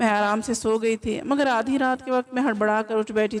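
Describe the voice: Someone reads aloud plainly, keeping the intonation fairly even.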